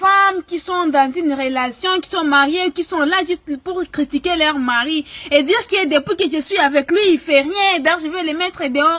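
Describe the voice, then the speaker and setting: A woman's raised, projected voice at an extremely high pitch, moderate pace and with hardly any pauses, over noticeable background noise. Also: ordinary pitch variation. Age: 20s. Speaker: vlogger. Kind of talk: comic monologue. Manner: animated.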